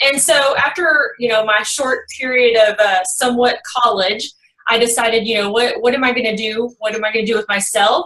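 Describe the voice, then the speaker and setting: At a moderate pace, a woman with a Texas accent speaks at a fairly high pitch, with ordinary pitch variation. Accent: Texas twang. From Texas, Kaufman. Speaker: real estate investor. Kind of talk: podcast interview.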